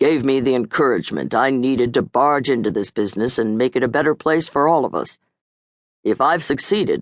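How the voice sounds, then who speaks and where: A man speaks in a husky put-on character voice at a fairly quick pace. His medium pitch has ordinary variation, in a dry, close sound with no echo. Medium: read story.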